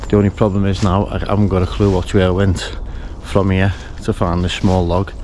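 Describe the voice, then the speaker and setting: A man with a very deep, low voice speaks fairly quickly in a monotone, flat way against noticeable background noise. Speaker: bird-watching vlogger. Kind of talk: outdoor vlog. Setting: outdoors in the woods. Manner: quiet, soft-spoken.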